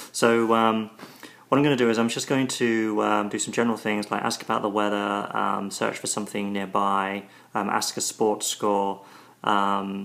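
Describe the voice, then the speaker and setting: A man with a British accent, fairly low in pitch, monotone and flat in intonation, at a moderate pace. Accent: British accent, strong to American ears. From Britain. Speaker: tech video reviewer. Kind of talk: tutorial demo. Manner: hesitant, many ums and repeats.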